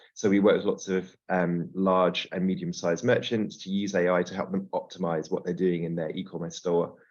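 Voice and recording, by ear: The man's low-pitched voice shows little pitch movement. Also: moderate pace.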